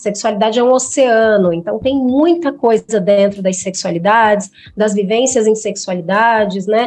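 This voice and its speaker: Hardly pausing, a woman with a plain, everyday voice speaks at a moderate pace, her fairly high pitch varying in an ordinary way. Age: 30s. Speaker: psychologist. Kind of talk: podcast interview.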